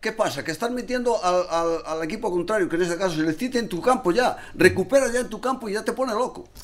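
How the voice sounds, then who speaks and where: A man talks at a very fast clip with hardly any pauses. His voice sits high for a man, with lively intonation. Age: 70s. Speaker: football supporters club president. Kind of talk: casual chat.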